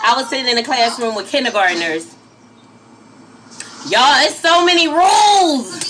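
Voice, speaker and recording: Against noticeable background noise, a woman raises and projects her high voice in an animated tone, her pitch swinging very widely. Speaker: spiritual life coach and live streamer. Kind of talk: casual live stream chat. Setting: live stream from home. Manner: loud.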